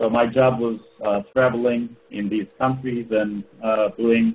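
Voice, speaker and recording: The speech moves at a fairly slow pace. Its intonation is monotone and flat. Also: man. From Turkey. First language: Turkish. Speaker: ed tech entrepreneur. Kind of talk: webinar presentation. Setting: webinar call.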